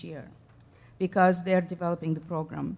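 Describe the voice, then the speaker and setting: A woman is speaking. She has a non-native accent. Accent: noticeable foreign. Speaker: school district staff presenter. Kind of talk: board meeting presentation. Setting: school board meeting.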